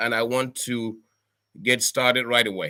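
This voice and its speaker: In a very clean recording with a silent background, a man speaks fairly slowly at a medium pitch in a bright, sharp tone. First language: local Cameroonian language. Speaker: professor. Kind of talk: address to home community. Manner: halting with many fillers.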